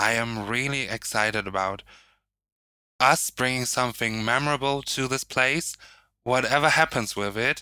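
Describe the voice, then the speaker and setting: On a very clean recording with a silent background, a man with a German accent speaks at a moderate pace and medium pitch, his tone bright and sharp, with ordinary pitch variation. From northern Germany. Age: 20s. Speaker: drag artist. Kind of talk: casual chat.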